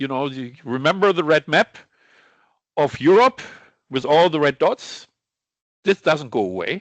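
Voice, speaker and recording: A man with a German accent speaks at a fairly high pitch, his intonation lively and broken by long, frequent pauses. The sound is dry and close with no echo, over a quiet background. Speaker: sales director presenting on lab chemicals. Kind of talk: webinar presentation. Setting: online webinar. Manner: halting, with false starts.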